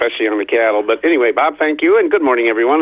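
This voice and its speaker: With an American accent, a man is talking. His voice sits at a medium pitch. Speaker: livestock auction market reporter. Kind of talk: market report. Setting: phone call.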